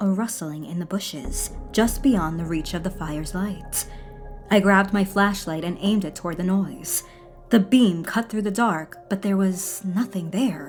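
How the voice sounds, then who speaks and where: A woman speaks at a moderate pace with medium pitch and ordinary pitch variation. Music plays in the background. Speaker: horror story narrator. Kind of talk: horror story narration.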